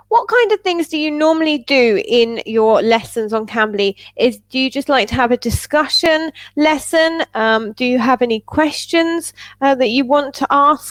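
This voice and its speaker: Recorded with a dry, close sound and no echo, a woman speaks at a high pitch and a moderate pace with lively intonation. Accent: English. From England. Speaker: English tutor. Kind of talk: casual chat. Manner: animated.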